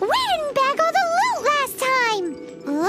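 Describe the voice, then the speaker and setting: A squeaky, cartoonish character voice with an extremely high pitch moves at a very slow pace over clear music in the background. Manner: excitable, blunt.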